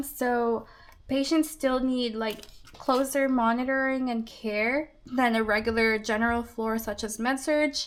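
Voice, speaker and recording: The speaker has a non-native accent. Delivery is at a moderate pace with fairly even intonation. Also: woman. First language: not English. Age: 20s. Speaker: budgeting vlogger, nurse. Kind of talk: casual vlog narration. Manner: calm, gentle.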